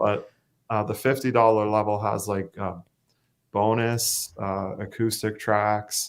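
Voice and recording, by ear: A man's fairly low, slow voice, little pitch movement, clear, smooth tone.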